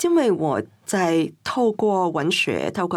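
A woman with a Cantonese accent is heard on a very clean recording with a silent background. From Hong Kong. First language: Cantonese (speaking Chinese). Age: 50s. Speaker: writer and queer cultural scholar. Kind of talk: interview conversation.

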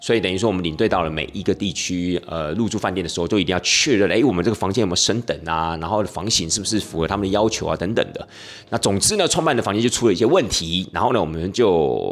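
A man talks at a very fast pace with hardly any pauses. Noticeable background noise runs underneath. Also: fairly low pitch for a man, ordinary pitch variation. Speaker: tour leader and podcast host. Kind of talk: casual podcast monologue.

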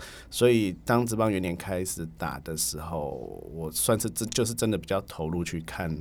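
A man's very deep, low voice with vocal fry, lively intonation, a moderate pace and hardly any pauses. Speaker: baseball writer and magazine editor. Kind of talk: casual interview chat.

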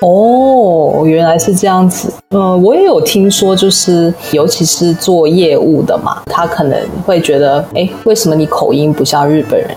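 A woman's fairly slow speech with very even loudness and ordinary pitch variation, over noticeable background noise. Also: medium pitch for a woman. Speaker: podcast host. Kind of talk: casual interview.

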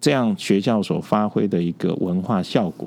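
Here a man speaks in a dark, mellow tone. His pitch variation is ordinary. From Taipei, Taiwan. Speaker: urban planning professor. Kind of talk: interview.

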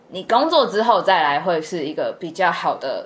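Against noticeable background noise, a woman speaks at medium pitch and a moderate pace. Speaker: podcast co-host, student abroad. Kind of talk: casual chat.

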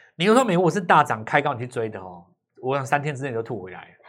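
A man's fairly high voice, very fast and lively in intonation, on a very clean recording with a silent background. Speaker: stock market analyst. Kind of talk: casual chat.

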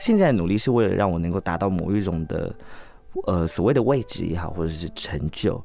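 Over music in the background, a man with a very deep, low voice talks at a fairly quick pace with ordinary pitch variation. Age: 30s. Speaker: drag queen performer. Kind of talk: interview.

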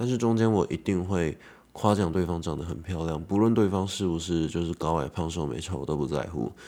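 On a very clean recording with a silent background, a man speaks fairly quickly at a very deep, low pitch in a dark, mellow tone with ordinary pitch variation. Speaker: podcaster and social media creator. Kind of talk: solo monologue podcast. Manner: casual, with filler words.

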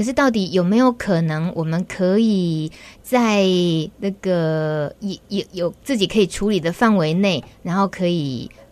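A woman with a Taiwanese accent talks at a fairly slow pace. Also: medium pitch for a woman, ordinary pitch variation. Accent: Taiwanese Mandarin. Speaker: radio host. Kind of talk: radio interview. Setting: studio. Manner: animated.

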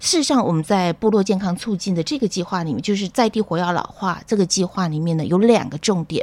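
A woman talks at a very fast pace with hardly any pauses and an energetic tone. Her pitch sits at a medium level with ordinary variation. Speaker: public health professor. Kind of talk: radio interview. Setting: studio.

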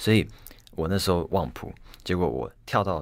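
Very deep and low, a man's voice carries vocal fry at a fairly quick pace. The recording is very clean, with a silent background. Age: 20s. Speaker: violinist. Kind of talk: interview. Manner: halting, repeats words.

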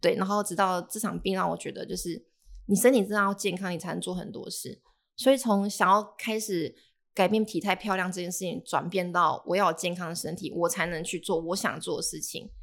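On a very clean recording with a silent background, a woman talks at a fairly quick pace with fairly even intonation and big swings in loudness. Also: medium pitch for a woman. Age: 20s. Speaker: personal trainer. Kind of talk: casual chat.

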